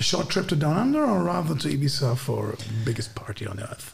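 A man's fairly high voice in a German accent, swinging very widely in pitch, with audible room echo and noticeable background noise. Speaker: podcast host. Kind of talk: casual chat.

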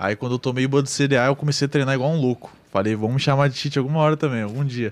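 With a slight gaúcho accent, a man of medium pitch talks at a very fast pace with ordinary pitch variation. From Rio Grande do Sul, Brazil. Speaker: online game roleplayer. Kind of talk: casual chat.

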